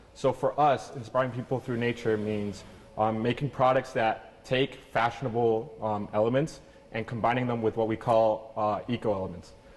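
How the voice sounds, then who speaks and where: A man at a medium pitch and moderate pace, with fairly even intonation and noticeable background noise. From Venezuela, then Canada from age six. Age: 20s. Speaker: clothing company founder. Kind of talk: interview.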